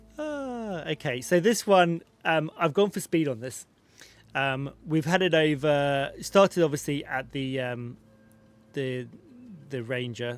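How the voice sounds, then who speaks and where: With a British accent and lively intonation, a man speaks at a fairly slow pace in a fairly high-pitched voice with long, frequent pauses. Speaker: gaming streamer. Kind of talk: live stream game commentary.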